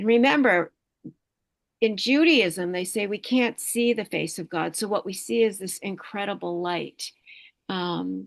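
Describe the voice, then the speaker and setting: A woman uses a plain, everyday voice at medium pitch. Her intonation is lively and her pace fairly slow. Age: 60s. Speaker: meditation teacher and energy healer. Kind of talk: talk to online group, spiritual presentation.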